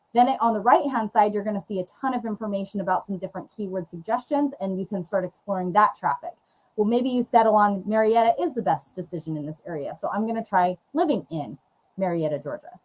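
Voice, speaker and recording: A woman's voice comes across as somewhat breathy. She speaks very fast. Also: medium pitch for a woman, lively intonation. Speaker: real estate YouTube coach, co-host. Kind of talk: live Q&A tutorial. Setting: livestream.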